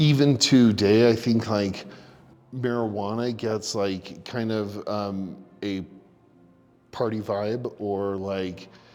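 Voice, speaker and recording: A man with a fairly low pitch speaks at a very slow pace with fairly even intonation. Long, frequent pauses break up his speech over music in the background. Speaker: person in recovery. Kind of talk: interview. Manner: halting.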